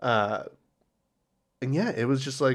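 An unremarkable speaking voice moves at a moderate pace over a quiet background. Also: man. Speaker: podcast co-host and editor. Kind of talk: casual banter.

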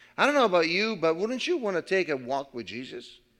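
On a very clean recording with a silent background, the voice moves at a fairly quick pace with very wide pitch swings. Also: man. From Italy. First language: Italian. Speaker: pastor. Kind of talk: sermon. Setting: church.

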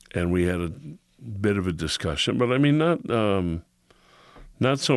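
A man with a Chicago accent at a moderate pace, quiet background behind him. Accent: Chicago American. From US Midwest, Chicago. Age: 50s. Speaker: podcast co-host, artist and actor. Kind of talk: casual chat.

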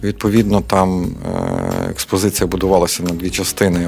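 Music plays behind a man whose voice is very deep and low. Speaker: artist and soldier. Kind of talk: radio interview. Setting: studio. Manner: hesitant, many filler sounds.

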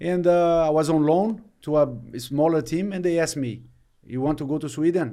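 A man with a Brazilian accent speaks in a fairly high pitch, his dark, mellow tone carrying ordinary pitch variation. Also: moderate pace. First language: Portuguese. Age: 30s. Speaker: retired footballer. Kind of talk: interview. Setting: studio. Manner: halting.

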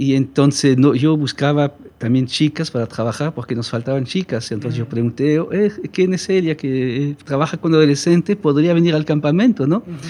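A man's fairly high voice, dark and mellow in tone, with a French accent, ordinary pitch variation and a fairly quick pace. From French-speaking Switzerland. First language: French (speaking Spanish). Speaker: missionary. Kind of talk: casual chat.

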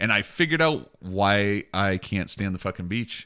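In a very clean recording with a silent background, a man's fairly low voice carries a bright, sharp tone and lively intonation. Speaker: podcast host. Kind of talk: casual chat.

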